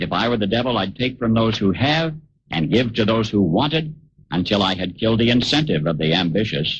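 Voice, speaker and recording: A man's fairly low, somewhat breathy voice moves at a fairly quick pace with lively intonation and very even loudness. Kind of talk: radio commentary essay reading.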